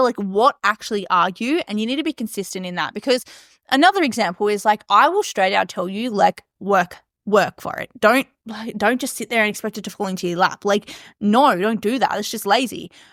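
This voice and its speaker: The recording is very clean, with a silent background and a dry, close sound with no echo. A woman speaks at a medium pitch in an animated tone, with ordinary pitch variation. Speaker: podcast host and business coach. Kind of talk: casual monologue. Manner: fast.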